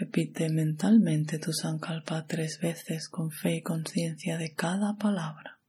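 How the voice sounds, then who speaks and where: A woman's very slow, gentle, calm speech with a dark, mellow tone, vocal fry, fairly low pitch and fairly even intonation, over a quiet background. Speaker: yoga nidra guide. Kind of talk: guided meditation. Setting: audio recording for lying down and relaxing. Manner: slow, calm, soothing, with long pauses; soft-spoken, gentle and hushed.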